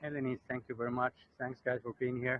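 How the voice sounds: A man speaks at a medium pitch. The sound is dry and close, with no echo.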